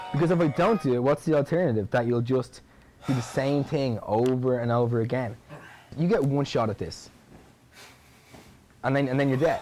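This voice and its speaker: A dark, mellow tone with an Irish accent, a fairly quick pace, ordinary pitch variation and long, frequent pauses. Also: man, medium pitch for a man. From Ireland, Dublin. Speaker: bodybuilder. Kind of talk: documentary interview. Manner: animated.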